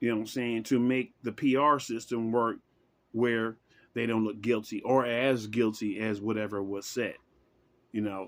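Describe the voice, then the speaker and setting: This very clean recording with a silent background has a man speaking at a medium pitch and a moderate pace. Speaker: vlogger giving political opinions. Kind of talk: casual monologue. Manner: animated.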